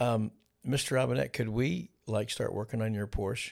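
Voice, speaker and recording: A man speaks at a moderate pace and medium pitch with fairly even intonation, in a normal speaking voice. The recording is very clean with a silent background. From eastern Kentucky (Ashland), moved to Ohio as a child. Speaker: pastor. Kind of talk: casual interview.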